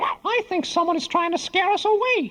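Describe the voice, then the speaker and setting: A squeaky put-on character voice sits at an extremely high pitch. It moves at a moderate pace. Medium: read story. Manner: earnest, upbeat.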